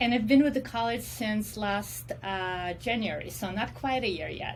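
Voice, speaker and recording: A woman talks at a moderate pace in a Russian accent. Audible room echo surrounds her voice. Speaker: special education professor and counseling psychologist. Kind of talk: casual interview.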